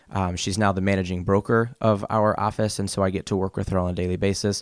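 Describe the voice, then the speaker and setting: Speaking in an American accent, a man with a fairly low pitch talks at a fairly quick pace in a monotone, flat intonation. The sound is dry and close with no echo, on a very clean recording with a silent background. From US South. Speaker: real estate agent. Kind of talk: casual interview. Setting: studio.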